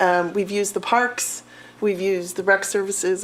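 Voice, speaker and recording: The speaker has an American accent and fairly even intonation at a moderate pace. Noticeable background noise runs underneath. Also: woman. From Appalachian Ohio (Athens). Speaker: physical education teacher. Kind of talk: self-introduction at public board meeting. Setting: city board meeting.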